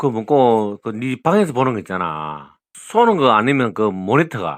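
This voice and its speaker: Speaking at a medium pitch, a man makes very wide pitch swings. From Gyeongsang region, South Korea. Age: 60s. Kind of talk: casual phone conversation.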